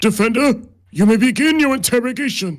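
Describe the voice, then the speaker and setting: A man does a put-on character voice at an extremely high pitch, moving at a fairly quick pace. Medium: game stream. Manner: formal, stately.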